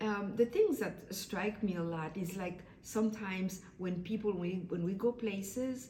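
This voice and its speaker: A woman's voice comes through with audible room echo and noticeable background noise. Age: 60s. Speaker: vlogger. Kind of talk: casual monologue. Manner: halting.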